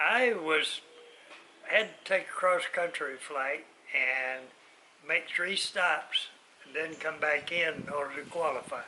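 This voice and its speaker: With long, frequent pauses and ordinary pitch variation, a man with a fairly high voice speaks at a very slow pace over noticeable background noise. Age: 80s+. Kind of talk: casual conversation.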